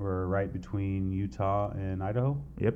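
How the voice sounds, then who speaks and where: This man's voice has a dark, mellow tone and a Southern California accent. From US West Coast, east San Diego County. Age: 40s. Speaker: tattoo artist. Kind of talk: casual chat.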